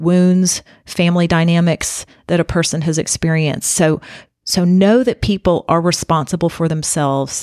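A woman with an American accent speaks at a moderate pace in a fairly low pitch, recorded very cleanly against a silent background with a dry, close sound and no echo. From US South. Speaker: leadership coach and podcast host. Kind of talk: solo podcast talk, advice monologue.

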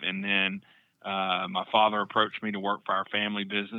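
A man with an Arkansas accent, fairly low in pitch, his intonation fairly even. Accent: Southern US (Arkansas). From South Arkansas (Camden). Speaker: mortgage loan officer. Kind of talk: casual interview.

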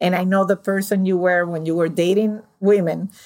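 A woman talks at a moderate pace with a fairly low pitch. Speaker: podcast host. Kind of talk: interview conversation. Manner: animated.

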